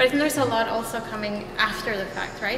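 There is clear background noise as a woman speaks at a fairly quick pace with a fairly high pitch and fairly even intonation.

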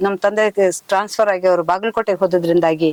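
A woman talks in a normal speaking voice at medium pitch, with fairly even intonation. The sound is dry and close, with no echo. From northern Karnataka (Kalyana-Karnataka region). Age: 60s. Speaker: epigraphist and writer, retired official. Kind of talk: interview.

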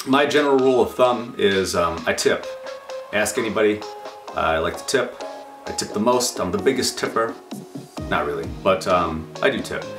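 A man talks at a moderate pace, leaving long, frequent pauses, with clear music in the background. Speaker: sobriety vlogger. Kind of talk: casual vlog chat. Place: home room.

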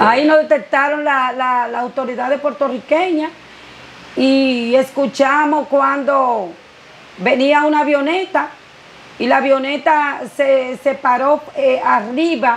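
Her voice sits high in pitch, and this woman uses ordinary pitch variation. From Dominican Republic. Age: 50s. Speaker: blind woman sharing migration story; interviewee. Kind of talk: interview testimony. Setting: her home. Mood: earnest, faith-filled, emotional. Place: home room.

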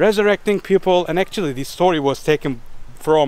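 Over music in the background, a man talks in a high pitch, the sound dry with no echo. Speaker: travel vlogger. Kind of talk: casual vlog chat. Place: street. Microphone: phone near.

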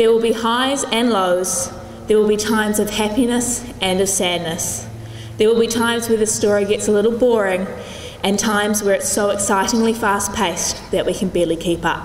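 Over light background noise and with audible room echo, a woman speaks at a moderate pace with very even loudness. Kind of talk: formal prepared speech. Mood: warm, lightly humorous, sentimental. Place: gym. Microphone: podium.

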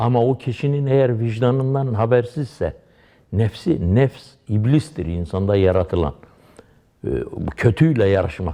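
Speaking at medium pitch and a fairly slow pace, a man keeps very even loudness with lively intonation and long, frequent pauses. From Dersim, eastern Turkey. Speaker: Alevi pir, religious leader. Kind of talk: lecture-style religious explanation with personal anecdotes.

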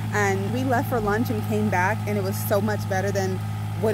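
Fairly quick speech in a dry sound with no echo, over loud background noise. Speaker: vlogger filming partner. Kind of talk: casual vlog chat. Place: open country. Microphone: phone near.

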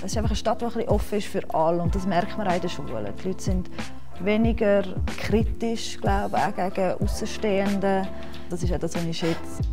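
A woman talks at a fairly quick pace with clear music in the background. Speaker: secondary school teacher. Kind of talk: interview answer. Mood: warm, relaxed, positive. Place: hall.

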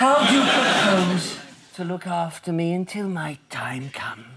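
Using a put-on character voice, the speaker talks at a fairly slow pace with big pitch swings and a bright, sharp tone. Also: man, high pitch for a man.

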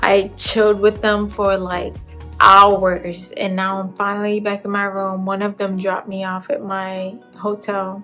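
Faint music plays behind a woman who speaks at a fairly slow pace in a monotone, flat intonation. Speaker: travel vlogger. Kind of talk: casual vlog chat. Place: home room. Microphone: phone near.

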